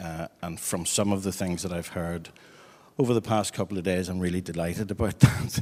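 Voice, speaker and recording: A man with a Northern Irish accent, very deep, low pitch and fairly quick pace. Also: fairly even intonation. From Northern Ireland. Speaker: head of teacher education. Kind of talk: panel conversation.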